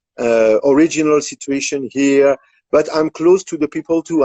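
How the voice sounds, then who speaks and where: With a French accent, a man speaks at a moderate pace. His voice is fairly high. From France. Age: 50s. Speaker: composer. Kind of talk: interview. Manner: halting.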